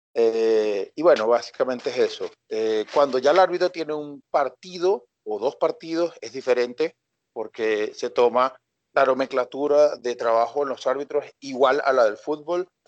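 A man speaks in a normal speaking voice, his pitch fairly high, with ordinary pitch variation, big swings in loudness and a fairly slow pace. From Venezuela, Coro (Falcón state). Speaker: sports scientist and fitness coach. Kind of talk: podcast interview.

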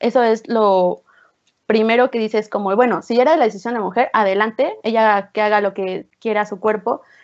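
A woman's plain, everyday voice, fairly high in pitch, with fairly even intonation at a moderate pace. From Oaxaca, Mexico. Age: 20s. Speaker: psychology student. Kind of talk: casual discussion.

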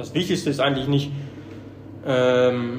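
Amid noticeable background noise and audible room echo, a man speaks at a moderate pace in a monotone, flat intonation. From Germany. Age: 30s. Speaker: gym member who lost a lot of weight. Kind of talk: casual interview.

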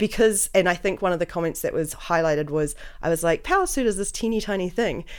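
In a very clean recording with a silent background, a woman with a normal speaking voice talks at a fairly quick pace, with medium pitch and ordinary pitch variation. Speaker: podcast host. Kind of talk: casual chat. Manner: joking, self-deprecating.

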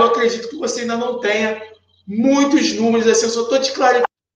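A man speaks at an extremely high pitch in an animated tone. Audible room echo surrounds his voice. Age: 30s. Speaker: sales mentor. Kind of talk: live stream tutorial.

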